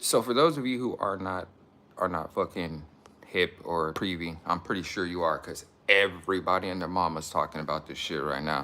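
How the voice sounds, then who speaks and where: Quiet and bright with a sharp tone, a man's very deep, low voice moves with ordinary pitch variation. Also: moderate pace. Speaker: YouTube commentator. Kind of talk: livestream commentary. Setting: at home, live stream. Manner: halting.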